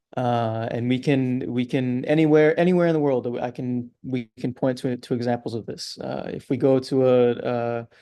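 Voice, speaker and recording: Hardly pausing, a man with a medium pitch and a dark, mellow tone speaks at a moderate pace. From New York City. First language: Catalan. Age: young. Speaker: language advocate. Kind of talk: interview. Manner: halting, many fillers and repeats.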